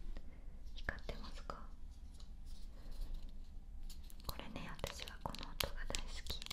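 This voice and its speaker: Whispering at a very slow pace, a woman speaks with a gentle tone. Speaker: ASMR creator. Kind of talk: soft whispered ASMR talk. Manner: gentle whisper close to the ear. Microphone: studio mic.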